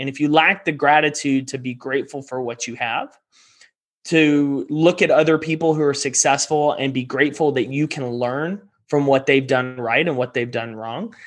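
An unremarkable speaking voice with an American accent, fairly even intonation and a moderate pace against a quiet background. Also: man, fairly high pitch for a man. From Texas. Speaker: performance coach and entrepreneur. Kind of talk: interview.

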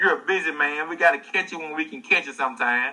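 A man's bright, sharp tone at a fairly high pitch, with a Southern US accent. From US South. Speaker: livestream show host. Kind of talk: casual livestream interview. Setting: online livestream.

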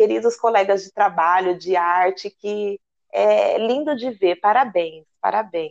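In an ordinary speaking voice, a woman talks at a fairly slow pace, her pitch medium with ordinary pitch variation. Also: quiet background. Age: 30s. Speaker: radio host and samba flag-bearer dancer. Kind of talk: radio interview.

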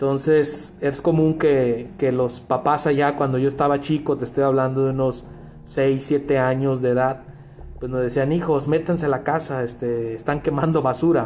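At a moderate pace, a man with fairly high pitch talks in a monotone, flat intonation. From Mexico, Culiacán, Sinaloa. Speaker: podcast guest, host's coworker. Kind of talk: casual chat. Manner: halting, with many repetitions.

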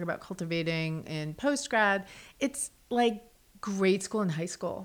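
With an American accent, a woman speaks at a fairly slow pace in a normal speaking voice, medium in pitch, with lively intonation, on a very clean recording with a silent background. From New Jersey / New York City. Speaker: art museum curator. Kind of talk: casual chat. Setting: studio.

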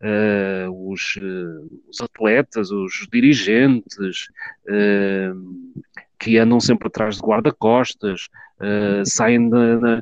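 A man's fairly low voice at a very slow pace, with fairly even intonation. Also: dry, close sound with no echo. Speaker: football fan commentator. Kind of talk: online group discussion.

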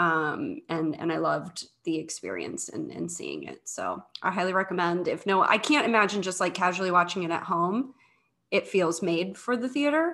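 A woman's medium-pitched voice with vocal fry, lively intonation, and a moderate pace. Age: 30s. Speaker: podcast co-host, curator and immersive artist. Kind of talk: casual chat.

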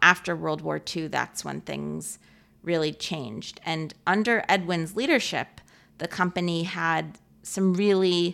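On a very clean recording with a silent background, a woman speaks at a fairly slow pace. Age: 30s. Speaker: documentary filmmaker. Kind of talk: interview.

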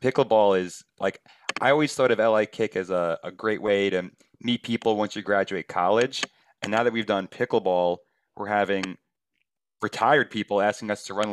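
In a normal speaking voice, a man with a fairly low pitch talks at a moderate pace with fairly even intonation, the sound dry and close with no echo and the background quiet. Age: 30s. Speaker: podcast host. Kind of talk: interview.

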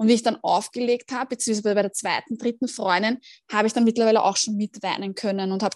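A woman's fairly high, normal speaking voice, fairly even in intonation, with a dry, close sound, no echo and a quiet background. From Austria, Vienna. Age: 30s. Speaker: mental trainer and cancer patient. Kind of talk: interview testimony.

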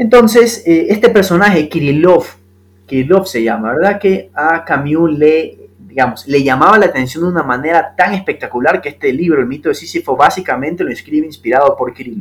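A man with a normal speaking voice talks at a fairly quick pace, using lively intonation and a fairly high pitch. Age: 20s. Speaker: lawyer and novelist, podcast guest. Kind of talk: casual philosophical conversation.

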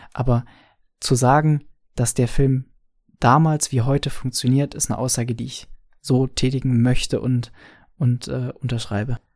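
Long, frequent pauses break up a man's speech at a moderate pace. His medium-pitched voice stays monotone and flat. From Franconia, Bavaria. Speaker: podcaster, film fan. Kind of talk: recorded voice message.

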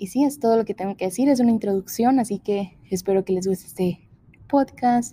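At a moderate pace, a woman speaks in a somewhat breathy, dark and mellow voice of medium pitch with ordinary pitch variation. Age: 20s. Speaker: podcast host. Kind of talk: casual monologue. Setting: large empty room.

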